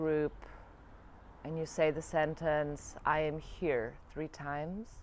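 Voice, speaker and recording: A woman speaks in a German accent. Her voice is very deep and low. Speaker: yoga and spirituality vlogger. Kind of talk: reflective video diary monologue. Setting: alone in front of camera. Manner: halting, searching for words.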